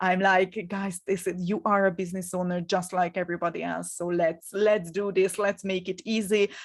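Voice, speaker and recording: A woman with a Hungarian accent speaks at a medium pitch and a moderate pace. Her intonation is monotone and flat. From Hungary. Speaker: business coach. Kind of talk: live webinar masterclass. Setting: live stream from home. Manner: halting, with frequent fillers and repetitions.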